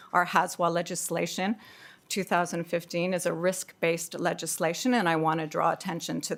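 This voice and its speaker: A woman with a North American accent speaks at a fairly low pitch with vocal fry. Her intonation is fairly even, and the recording is very clean with a silent background. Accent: loud North American. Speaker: public submitter. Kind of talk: public submission at council hearing. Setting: council meeting hearing. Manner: loud.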